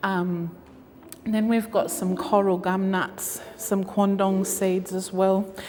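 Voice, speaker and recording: Over noticeable background noise, a woman with an Australian accent speaks at a fairly slow pace in a medium pitch with fairly even intonation. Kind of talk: gallery talk. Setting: gallery with audience. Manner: loud.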